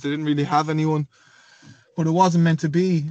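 A man's fairly high voice with an western Irish accent and monotone, flat intonation. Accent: Irish (west of Ireland). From Galway, Ireland. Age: 20s. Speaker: professional footballer. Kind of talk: casual interview.

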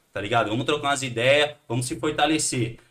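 A man uses a normal speaking voice pitched fairly high, with ordinary pitch variation. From Brazil, Santos (São Paulo coast). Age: 30s. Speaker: punk band musician. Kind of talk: casual chat.

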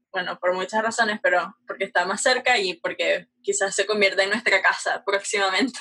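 A woman with a plain, everyday voice talks at a medium pitch and a fairly quick pace with hardly any pauses. Her intonation stays fairly even. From Venezuela, Caracas. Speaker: aerospace engineering student. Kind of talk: casual interview.

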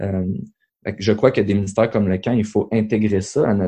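In a dark, mellow tone and a fairly low pitch, a man speaks at a moderate pace with fairly even intonation. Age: 30s. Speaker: podcast host, youth ministry leader. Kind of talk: casual chat.

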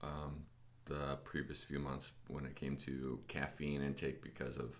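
A man's very deep, low voice with audible room echo. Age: 30s. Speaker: gym podcast host. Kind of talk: casual chat.

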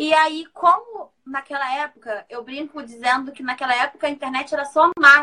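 In a raised, projected voice, a woman speaks at a high pitch with ordinary pitch variation. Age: 30s. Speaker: author and makeup artist. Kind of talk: live interview. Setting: Instagram live stream.

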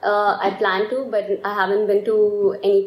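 This woman talks at a moderate pace with a medium pitch and fairly even intonation. Noticeable noise sits in the background. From India. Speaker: design student. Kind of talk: casual chat.

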